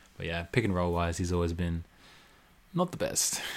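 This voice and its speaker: Recorded very cleanly against a silent background, a man talks at a moderate pace with an Australian accent. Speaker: podcast co-host. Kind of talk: casual chat about basketball.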